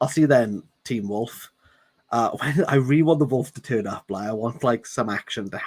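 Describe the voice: Someone does plain reading aloud over a quiet background.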